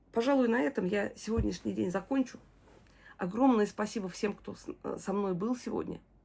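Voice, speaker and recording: At a moderate pace, a woman with a medium pitch and a warm tone speaks with vocal fry and big swings in loudness. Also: ordinary pitch variation. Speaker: video diarist, bereaved mother. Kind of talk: personal video diary. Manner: warm, emotional.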